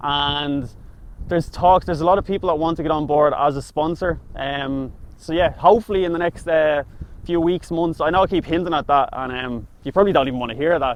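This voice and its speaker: With a Dublin accent, this speaker talks at a fairly quick pace using ordinary pitch variation. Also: man, fairly high pitch for a man. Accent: Dublin Irish. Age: 20s. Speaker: food reviewer. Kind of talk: casual chat.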